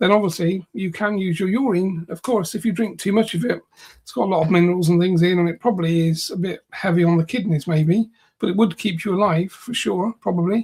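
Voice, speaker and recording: A man with a high pitch at a fairly quick pace. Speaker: psychic healer and trance channel. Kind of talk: casual chat. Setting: livestream. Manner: monotone.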